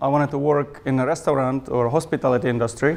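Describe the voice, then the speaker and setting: Noticeable background noise sits behind a man with a Czech accent whose fairly high voice stays fairly even in intonation. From Czech Republic. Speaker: club member speaker. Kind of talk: speech to a club meeting. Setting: club meeting with audience.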